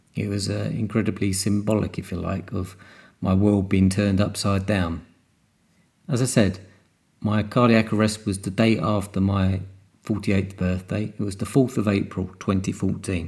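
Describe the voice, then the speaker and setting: A man's fairly low voice in a British accent, at a moderate pace with monotone, flat intonation. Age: 50s. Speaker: podcast host and cardiac arrest survivor. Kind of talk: solo monologue podcast. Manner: hesitant, with fillers.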